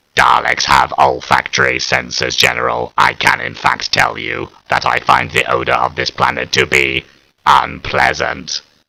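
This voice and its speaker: A man performs a put-on character voice. It is very deep and low, delivered at a moderate pace. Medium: read story. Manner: measured, flat, clipped reports.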